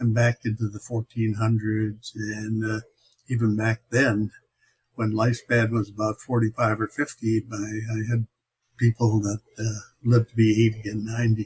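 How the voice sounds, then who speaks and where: With an American accent, a man speaks at a moderate pace in a somewhat breathy, medium-pitched voice with flat, monotone intonation, the sound dry and close with no echo. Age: 90s. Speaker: war veteran. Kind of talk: interview. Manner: halting.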